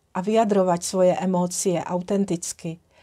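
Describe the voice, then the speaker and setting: A woman with a Czech accent, her dark, mellow tone held in a flat, monotone delivery. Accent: Czech-accented Slovak. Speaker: holistic trainer, tantra massage teacher and founder of a training brand. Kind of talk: casual talk to camera, personal introduction. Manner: warm, gentle, grateful.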